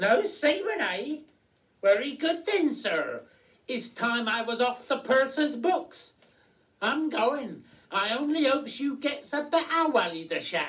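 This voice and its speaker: This put-on character voice is high-pitched and moves at a fairly slow pace. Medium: stage play.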